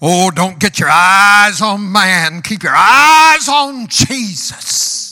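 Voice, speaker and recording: In a put-on character voice, a man uses a raised, projected voice with a high pitch, a very slow pace and hardly any pauses. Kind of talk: preaching.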